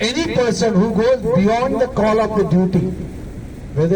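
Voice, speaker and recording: With an Indian accent, a man speaks at a fairly quick pace over noticeable background noise and audible room echo. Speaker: colleague giving farewell speech. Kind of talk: farewell speech.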